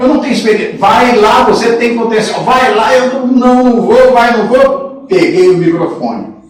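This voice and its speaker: There is noticeable background noise and audible room echo. A man talks at a moderate pace with lively intonation. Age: 60s. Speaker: sports radio broadcaster. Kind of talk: interview storytelling.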